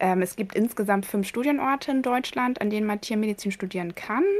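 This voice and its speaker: This woman has an ordinary speaking voice. She talks at a moderate pace with ordinary pitch variation. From East Frisia, northern Germany. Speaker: veterinarian. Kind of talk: interview. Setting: home office.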